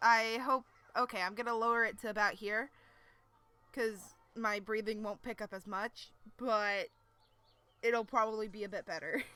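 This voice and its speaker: Soft-spoken and fairly high in pitch, a woman talks with fairly even intonation and long, frequent pauses while music plays in the background. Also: moderate pace. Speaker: streamer reading a webcomic aloud. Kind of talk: casual live stream chat with reading aloud. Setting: live stream at home PC. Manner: kept quiet, soft-spoken.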